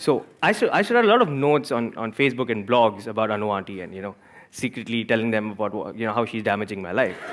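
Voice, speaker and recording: Someone talks at a very fast pace with an Indian accent. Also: man, medium pitch for a man. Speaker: entrepreneur and author. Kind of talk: talk to live audience. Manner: animated; repeats words, halting.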